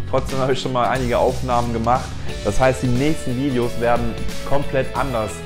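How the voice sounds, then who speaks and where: Clear music plays in the background as a man talks at a fairly quick pace. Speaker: travel vlogger. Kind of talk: casual vlog chat. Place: home room. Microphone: lapel.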